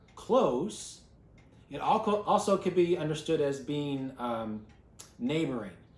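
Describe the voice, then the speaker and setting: A man speaks in a fairly high, somewhat breathy voice with very wide pitch swings. Audible room echo carries the sound. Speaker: bible class teacher. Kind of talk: bible class teaching.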